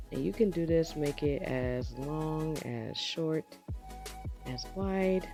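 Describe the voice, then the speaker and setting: A woman delivers her words at a very slow pace while music sounds behind her. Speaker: makeup tutorial creator. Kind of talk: makeup tutorial voice-over. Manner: casual, chatty.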